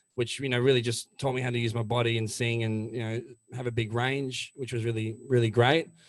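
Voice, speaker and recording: A man with an Australian accent speaks fairly quickly at a medium pitch, his intonation monotone and flat. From Melbourne, Australia. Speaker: country-rock singer. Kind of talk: interview.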